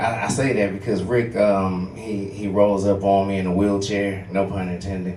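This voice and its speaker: A man with a fairly low pitch is heard through noticeable background noise and audible room echo. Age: 40s. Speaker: stand-up comedian. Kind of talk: stand-up. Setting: stage with audience.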